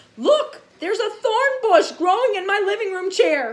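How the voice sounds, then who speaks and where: A woman speaks in a squeaky, put-on character voice, pitched extremely high. Her intonation is lively and her pace moderate. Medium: read story.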